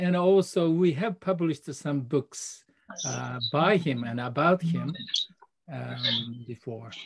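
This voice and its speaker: In a Japanese accent, a man speaks at a very slow pace with lively intonation. His voice is fairly high-pitched and somewhat breathy. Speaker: translator, author. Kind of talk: self-introduction at symposium.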